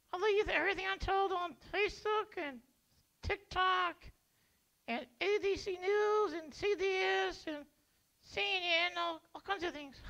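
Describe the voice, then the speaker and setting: This cartoonish character voice has an extremely high pitch and moves at a fairly slow pace with long, frequent pauses. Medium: puppet show. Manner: dull, sluggish, stubborn.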